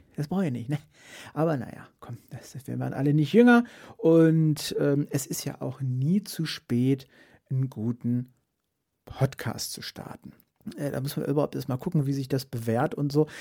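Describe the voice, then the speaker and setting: A man with a fairly high, somewhat breathy voice and a dark, mellow tone speaks at a moderate pace. His intonation is lively, broken by long, frequent pauses. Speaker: streamer and podcast host. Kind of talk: casual solo podcast monologue. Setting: home podcast set. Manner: halting, many restarts and fillers.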